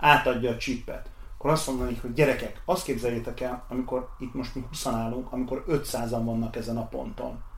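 Moderate-paced speech from a man, medium in pitch, in a space with audible room echo. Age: 40s. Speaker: race organizer. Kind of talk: interview. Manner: halting.

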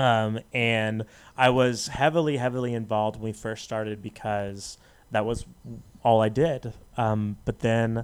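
This man talks at a fairly slow pace with an American accent. His pitch is medium, and the recording is very clean with a silent background. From Las Vegas, US. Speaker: podcast guest. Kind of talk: casual chat. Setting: studio. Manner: animated, laughing often.

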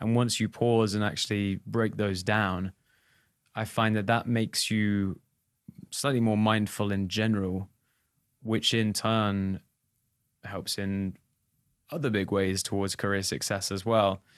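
With an English accent, the speaker goes at a fairly slow pace, leaving long, frequent pauses and keeping the intonation fairly even. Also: man, fairly low pitch for a man. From England. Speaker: touring musician and podcast co-host. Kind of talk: casual chat.

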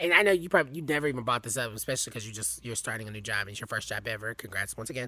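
A man with an American accent speaks at a very fast pace and a medium pitch, with hardly any pauses and a bright, sharp tone marked by vocal fry. His loudness swings a lot, and the recording is very clean with a silent background. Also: lively intonation. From US South. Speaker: entertainment host. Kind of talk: casual chat.

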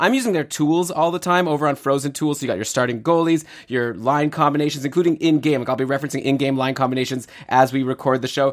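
Talking at a very fast pace with hardly any pauses, a man sounds animated. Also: fairly high pitch for a man, ordinary pitch variation. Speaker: fantasy hockey podcast host. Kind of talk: casual chat.

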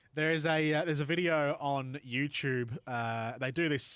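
Fairly even intonation runs through a man's speech in an Australian accent. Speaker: sports podcast host. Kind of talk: casual sports chat. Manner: halting, many fillers.

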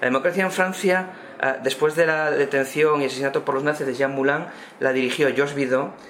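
Amid noticeable background noise, a man talks fairly quickly at a fairly high pitch with ordinary pitch variation. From Spain. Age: 50s. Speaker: history professor. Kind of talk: round-table discussion. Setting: bookshop event with audience.

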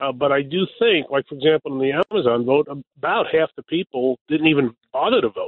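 In a New York accent, a man speaks at a fairly quick pace and a fairly high pitch. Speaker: local politician. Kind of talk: radio interview. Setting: phone call.

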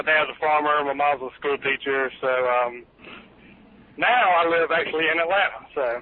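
A man with a Southern US accent speaks at a fairly high pitch and a moderate pace. His intonation is fairly even, broken by long, frequent pauses. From US South, rural South Georgia. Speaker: amateur triathlete caller. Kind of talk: casual chat.

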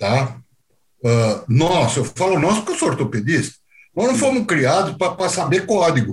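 This man's high voice moves through very wide pitch swings while his loudness stays very even, and he speaks at a fairly slow pace. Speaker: medical auditor, former orthopedic surgeon. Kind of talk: interview.

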